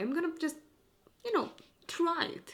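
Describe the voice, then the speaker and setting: Music plays in the background. A woman speaks with a non-native accent. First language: not English. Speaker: vlogger. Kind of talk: casual vlog monologue. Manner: rambling, hesitant.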